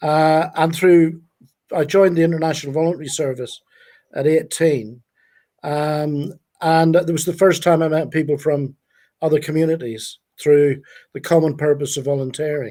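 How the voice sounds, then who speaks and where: With a Northern Irish accent, a man speaks in a dark, mellow tone at a fairly high pitch, his intonation fairly even and his pace moderate, with long, frequent pauses on a very clean recording over a silent background. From Northern Ireland, Belfast. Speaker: youth charity founder. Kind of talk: live stream interview. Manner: halting.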